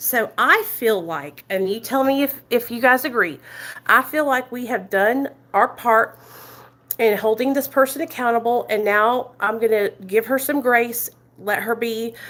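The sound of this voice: A loud woman with an American country accent speaks at a fairly slow pace, her fairly high, fairly bright voice showing ordinary pitch variation. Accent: American country twang.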